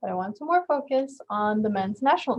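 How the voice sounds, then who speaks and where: This woman's voice is somewhat breathy. It sits fairly high in pitch. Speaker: community college event host presenting on French culture. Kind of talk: informal presentation. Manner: casual, filler-heavy.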